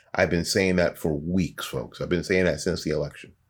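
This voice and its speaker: A man with an American accent on a very clean recording with a silent background. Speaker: podcast host. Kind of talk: solo monologue commentary.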